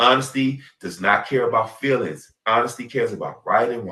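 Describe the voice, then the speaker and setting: This man's voice sits at a medium pitch and has an animated tone. His pace is moderate. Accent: American. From US South. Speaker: podcast host. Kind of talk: casual chat.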